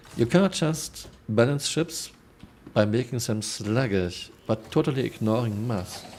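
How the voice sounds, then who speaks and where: Speaking with a German accent, a man moves at a fairly slow pace with lively intonation. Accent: broad German. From Germany. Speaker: video game streamer. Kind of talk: casual live stream chat reading viewer comments.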